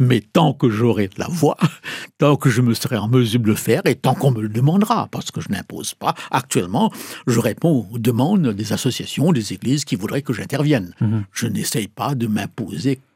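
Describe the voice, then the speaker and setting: Somewhat breathy, a man with a medium pitch talks at a moderate pace with lively intonation. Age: 70s. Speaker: pastor and evangelist. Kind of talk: interview.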